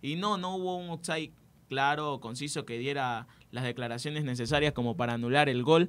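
Using an unremarkable speaking voice, a man keeps a moderate pace, his fairly high pitch varying in an ordinary way. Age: 20s. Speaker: student sports radio presenter; radio presenter. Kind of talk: sports talk radio chat. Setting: radio studio. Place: studio. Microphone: studio mic.

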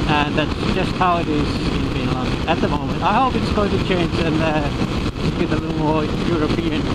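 Moderate pace over loud background noise. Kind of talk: casual vlog chat. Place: motorbike. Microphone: helmet.

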